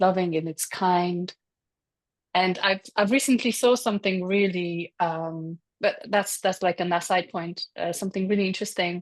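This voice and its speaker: Over a quiet background, a woman with a Polish accent speaks at medium pitch and a moderate pace with fairly even intonation, in a dry, close sound with no echo. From Poland. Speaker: energy healer. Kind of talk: casual chat. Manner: halting.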